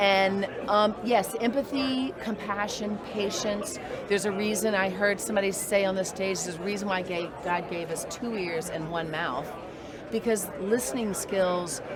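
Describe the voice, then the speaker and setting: With crowd noise in the background and audible room echo, a woman in an American accent speaks at a moderate pace and medium pitch, varying it in an ordinary way. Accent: Southern, comes back when talking money. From US South, Nashville, Tennessee. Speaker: real estate broker. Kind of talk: interview.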